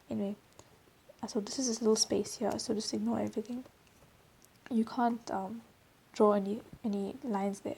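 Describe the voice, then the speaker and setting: A woman's fairly high, somewhat breathy voice with a dark, mellow tone, fairly even intonation, a fairly quick pace and long, frequent pauses. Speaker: drawing tutor. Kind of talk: tutorial. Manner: casual.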